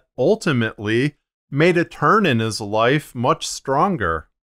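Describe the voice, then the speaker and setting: A man's lively intonation at a moderate pace, on a very clean recording with a silent background. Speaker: fiction podcast narrator. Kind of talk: video tutorial. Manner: casual, explanatory.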